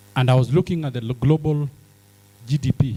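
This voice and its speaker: A man speaks at a fairly quick pace in a dark, mellow, somewhat breathy tone at medium pitch. The sound is dry and close, with no echo. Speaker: businessman in healthcare, summit speaker. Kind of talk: conference speech.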